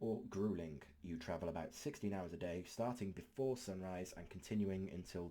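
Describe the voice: The clip is plain reading aloud. Its pitch varies an ordinary amount.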